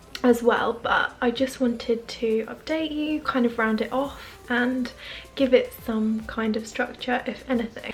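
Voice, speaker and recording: A quiet woman's voice, high in pitch, at a moderate pace over music in the background. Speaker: lifestyle vlogger. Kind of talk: vlog to camera. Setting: at home. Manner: casual, chatty.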